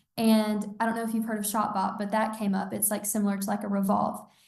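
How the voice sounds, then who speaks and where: With audible room echo, a woman speaks in a somewhat breathy, fairly high voice with monotone, flat intonation. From Georgia. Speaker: college student and online clothing store founder. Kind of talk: casual interview chat.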